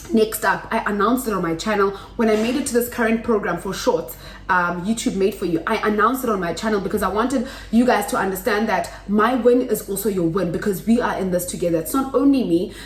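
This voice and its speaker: A woman speaks very fast at a medium pitch with ordinary pitch variation. Audible room echo and noticeable background noise are present. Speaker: YouTuber. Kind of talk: tutorial. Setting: home kitchen. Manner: loud.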